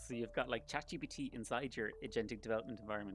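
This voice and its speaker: Vocal fry marks this man's Irish accent, delivered at a medium pitch with ordinary pitch variation. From Ireland. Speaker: startup founder and developer. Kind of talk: live stream walkthrough. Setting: livestream. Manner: casual, with frequent fillers.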